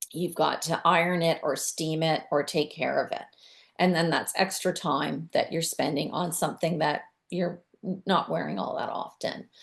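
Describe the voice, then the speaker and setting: A woman speaks at a moderate pace with a fairly low pitch. Her voice carries vocal fry and fairly even intonation. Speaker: decluttering and downsizing expert. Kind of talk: webinar presentation.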